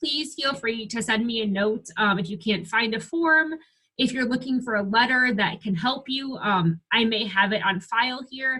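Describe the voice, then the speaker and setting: A woman speaks in a high voice with lively intonation. She hardly pauses at all. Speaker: 4-H extension staff trainer. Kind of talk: webinar training. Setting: online screen-share webinar. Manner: fast.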